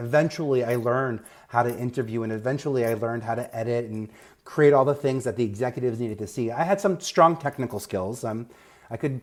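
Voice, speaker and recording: With a New York accent, a man talks at a medium pitch with ordinary pitch variation on a very clean recording with a silent background. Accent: Staten Island. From New York, Staten Island. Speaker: media advisor, former TV executive. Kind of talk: podcast interview.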